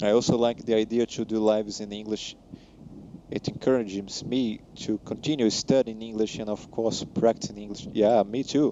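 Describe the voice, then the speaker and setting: A man with a Portuguese accent speaks at a moderate pace in a fairly low, monotone voice with flat intonation. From Brazil. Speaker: flight sim streamer, commercial pilot. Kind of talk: live stream chat reading viewer comments. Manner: halting, frequent self-corrections.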